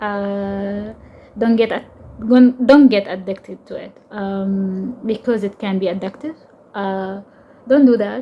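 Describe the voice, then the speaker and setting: A woman speaks at a very slow pace in a medium pitch with fairly even intonation. Her tone is dark and mellow and somewhat breathy. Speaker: tarot content creator and interdisciplinary artist. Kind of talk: personal vlog monologue. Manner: halting, many fillers and repetitions.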